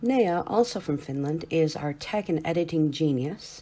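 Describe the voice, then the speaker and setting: A woman with an American accent speaks at a very deep, low pitch with lively intonation. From United States. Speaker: student project manager. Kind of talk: scripted intro.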